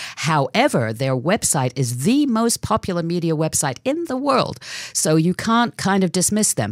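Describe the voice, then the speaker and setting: A woman with a British accent and a fairly low pitch speaks at a moderate pace with very wide pitch swings, very even loudness, and a dry, close sound with no echo. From England. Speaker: radio host. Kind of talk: radio interview.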